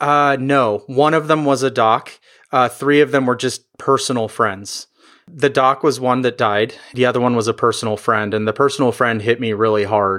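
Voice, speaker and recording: On a very clean recording with a silent background, a man with an American accent talks at a moderate pace and medium pitch. It is a plain, everyday voice, with fairly even intonation and very even loudness. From United States. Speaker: emergency physician. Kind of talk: interview conversation.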